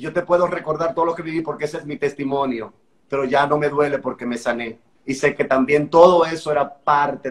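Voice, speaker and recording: A man talking at a fairly quick pace. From Dominican Republic, San Pedro de Macorís. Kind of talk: testimony. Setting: Instagram live video call. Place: home room.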